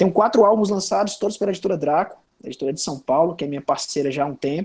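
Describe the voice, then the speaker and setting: A man speaks very fast with a Ceará accent and ordinary pitch variation. The background is quiet. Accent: northeastern Brazilian (Cearense) Portuguese. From Brazil, Ceará (Sobral, interior). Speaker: comics writer. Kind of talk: panel discussion. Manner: casual, hesitant with fillers.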